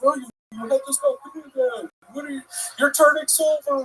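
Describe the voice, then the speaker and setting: This put-on character voice is high-pitched and moves at a moderate pace. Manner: scolding, concerned.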